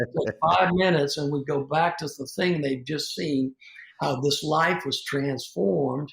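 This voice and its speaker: Vocal fry and a moderate pace, with a Southern US accent. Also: man. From US South. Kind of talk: interview conversation.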